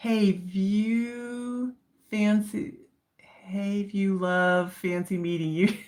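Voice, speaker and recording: A woman talks at a very slow pace, her voice somewhat breathy. Her pitch varies in an ordinary way. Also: medium pitch for a woman. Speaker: livestream coloring youtuber. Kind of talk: casual livestream chat. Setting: livestream. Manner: animated.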